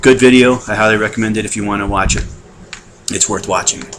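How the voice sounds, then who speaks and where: A man's fairly low, monotone, flat voice comes through over noticeable background noise. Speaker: weight-loss surgery patient. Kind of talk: casual talk to camera. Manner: hesitant, conversational.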